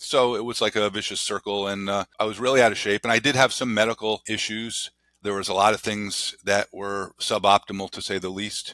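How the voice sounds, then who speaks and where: Bright and sharp in tone, a man's fairly low voice moves at a fairly quick pace with monotone, flat intonation. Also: hardly any pauses. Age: 60s. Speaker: guest sharing weight loss journey. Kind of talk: interview. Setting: podcast. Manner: halting, many fillers.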